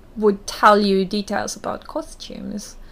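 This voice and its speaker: A woman talks with a German accent. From Germany, small town. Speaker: burlesque performer and costume maker. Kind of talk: interview.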